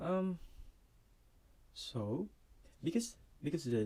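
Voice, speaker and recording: Very slow, somewhat breathy man's voice with a dark, mellow tone and very wide pitch swings. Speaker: student sharing homework. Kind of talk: casual tutorial. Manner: hesitant, many fillers.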